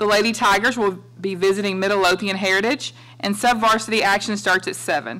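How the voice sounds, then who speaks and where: A woman's voice has a bright, sharp tone and ordinary pitch variation. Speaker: superintendent giving report. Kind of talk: formal report announcements. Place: meeting room. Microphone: podium.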